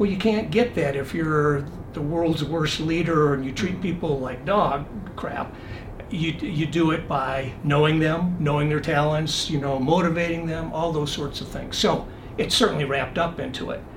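Amid noticeable background noise and audible room echo, a man with an American accent speaks at a moderate pace, with a fairly high pitch and ordinary pitch variation. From Michigan. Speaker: retired air force general and military lawyer. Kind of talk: interview conversation. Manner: calm.

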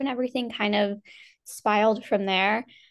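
A woman with an American accent talks at a fairly quick pace in a plain, everyday voice, fairly high in pitch, against a quiet background. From US Northeast. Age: 20s. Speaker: PR agency founder. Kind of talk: interview conversation.

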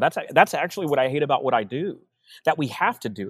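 This man has a Texan accent and a fairly high pitch. He talks at a fairly quick pace, and the sound is dry and close with no echo. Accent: Texan American English. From Texas, Austin. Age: 40s. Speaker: sales coach. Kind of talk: casual chat. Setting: video call.

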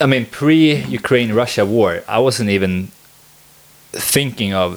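A man with a Swedish accent and lively intonation, over noticeable background noise. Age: 20s. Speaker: podcast host. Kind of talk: casual chat.

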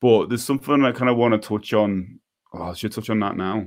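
A man with a Scouse accent. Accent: Scouse (Liverpool) English. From Liverpool, England. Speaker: podcast host for DIY musicians. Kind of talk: casual chat. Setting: live video stream.

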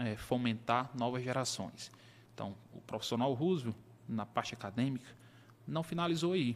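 A man's medium pitch and ordinary pitch variation come through on a very clean recording with a silent background. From Brazil, Piauí (Teresina). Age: 30s. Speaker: accountant. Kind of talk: interview.

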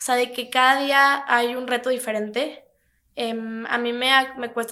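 The tone is bright and sharp, in a Mexico City accent. The pace is fairly slow. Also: woman. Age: 20s. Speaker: young entrepreneur. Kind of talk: interview.

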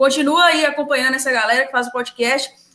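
At a fairly quick pace, a woman speaks in a high, bright, sharp voice. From Minas Gerais, Brazil. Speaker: football fan channel co-host, physics student. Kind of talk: casual chat.

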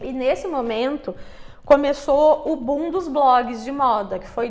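Speaking at a fairly slow pace, a woman with a high pitch and ordinary pitch variation is heard over noticeable background noise and audible room echo. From Brazil, Curitiba. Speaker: digital marketing entrepreneur. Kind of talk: interview.

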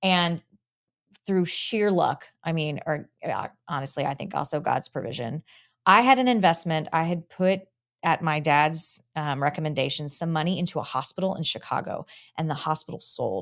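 A normal speaking voice with an American accent moves at a moderate pace with ordinary pitch variation. The recording is very clean, with a silent background, and has a dry, close sound with no echo. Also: woman, fairly low pitch for a woman. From Texas, Dallas-Fort Worth. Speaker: lawyer. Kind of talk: interview conversation.

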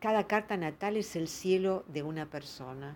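This woman has an ordinary speaking voice and lively intonation. Her pace is moderate. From Argentina, provinces. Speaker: astrologer. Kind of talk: monologue talk.

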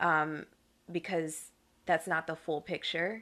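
In an American accent, a woman speaks at a very deep, low pitch with vocal fry, a bright, sharp tone and fairly even intonation against a quiet background. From North Carolina (Fayetteville area). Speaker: wellness professional and fitness instructor. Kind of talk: interview.

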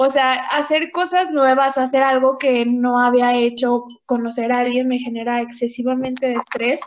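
Speaking at a moderate pace with hardly any pauses, a woman with a high pitch and fairly even intonation talks in a Mexican accent. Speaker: podcast co-host. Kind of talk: casual chat.

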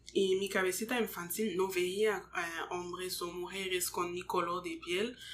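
A woman speaks at a medium pitch and a very slow pace. Her intonation is monotone and flat. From Montreal, Quebec, Canada; Congolese parents. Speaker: nurse. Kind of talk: casual interview. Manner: halting, hesitant.

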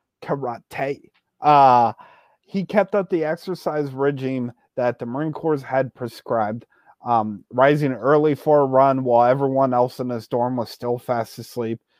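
This is a man with a normal speaking voice and an American accent. His medium pitch shows ordinary pitch variation. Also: moderate pace. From western Pennsylvania, Beaver County. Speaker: true crime podcast host. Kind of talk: storytelling narration with casual banter.

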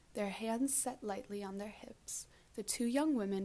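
Pitch varies in an ordinary way. The delivery is plain reading aloud.

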